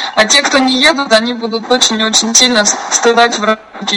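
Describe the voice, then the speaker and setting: A woman talks fairly quickly in a fairly high pitch, with noticeable background noise behind her. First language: Russian. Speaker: conference call organizer. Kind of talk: casual chat.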